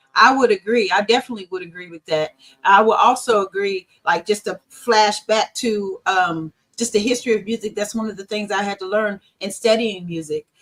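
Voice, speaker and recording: A woman at medium pitch talks at a fairly quick pace with fairly even intonation and big swings in loudness, music in the background and a dry, close sound with no echo. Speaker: singer. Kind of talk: interview answer.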